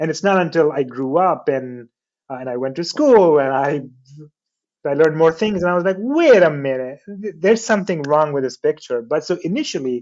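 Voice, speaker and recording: A man with a non-native accent talks at a fairly quick pace, his fairly high pitch carried by lively intonation. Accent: foreign. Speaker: artist and graphic designer. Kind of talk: interview. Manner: casual, many fillers and restarts.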